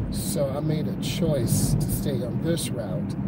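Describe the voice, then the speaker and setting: Loud background noise surrounds a man whose voice has ordinary pitch variation and a dry sound with no echo. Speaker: driving instructor. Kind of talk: commentary. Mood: calm, relaxed. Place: car. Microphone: phone near.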